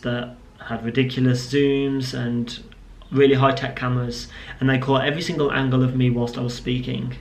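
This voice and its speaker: A man's medium-pitched, monotone, flat voice amid audible room echo and noticeable background noise. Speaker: vlogger and business owner. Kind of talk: casual vlog to camera.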